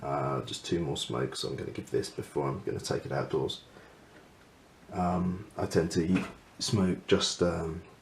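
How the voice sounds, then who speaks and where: With a very deep, low pitch and vocal fry, a man speaks with ordinary pitch variation and long, frequent pauses. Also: moderate pace. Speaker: pipe smoker. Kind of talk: casual talk to camera. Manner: mumbling, hesitant.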